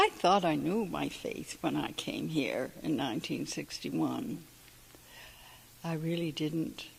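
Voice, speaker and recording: A woman speaks in a Canadian Maritime accent. Her pace is very slow. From Canada, Prince Edward Island (Summerside). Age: 80s+. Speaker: church member and volunteer. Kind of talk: interview testimony. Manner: halting.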